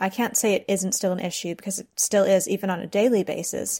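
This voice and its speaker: A woman with an unremarkable speaking voice talks at a moderate pace and medium pitch. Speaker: freelance journalist. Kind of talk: recorded contribution about PTSD and travel.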